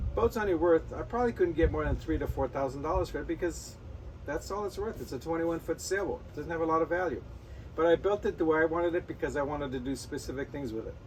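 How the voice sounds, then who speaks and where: Against noticeable background noise, a man's words come out at a very fast pace. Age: 60s. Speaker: sailing YouTuber. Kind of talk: casual talking-head advice video. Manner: conversational, self-correcting.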